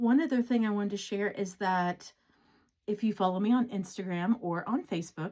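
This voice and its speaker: A woman speaks at a medium pitch in a dark, mellow, somewhat breathy tone. The recording is very clean, with a silent background. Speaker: cross-stitch vlogger and pattern designer. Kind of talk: casual chat. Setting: home craft room.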